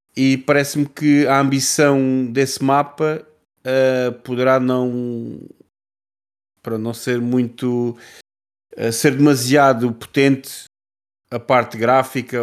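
Over a silent background in a very clean recording, a man at medium pitch talks at a very slow pace with fairly even intonation. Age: 30s. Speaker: podcast co-host. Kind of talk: casual chat.

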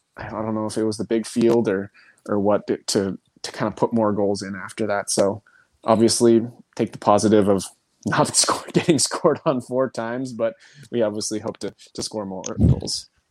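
A man's fairly even intonation, in a very clean recording with a silent background and a dry, close sound with no echo. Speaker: professional soccer player. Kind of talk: casual interview. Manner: fast talker.

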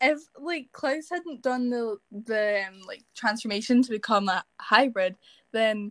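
A woman speaks with a Scottish accent at a fairly high pitch. The sound is dry and close, with no echo. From Scotland. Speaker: TikTok actor. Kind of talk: casual chat.

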